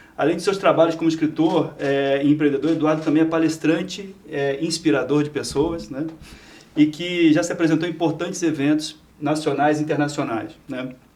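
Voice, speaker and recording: Speaking in a monotone with flat intonation, a man with a fairly high pitch keeps a moderate pace. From Rio de Janeiro, Brazil. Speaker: podcast host. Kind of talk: podcast interview.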